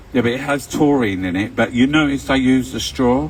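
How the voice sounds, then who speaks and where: Speaking at a moderate pace in a London accent, a man uses lively intonation. Noticeable background noise can be heard. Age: 60s. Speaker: vlogger. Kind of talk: casual monologue. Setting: live stream at home. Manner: rambling with fillers and hesitations.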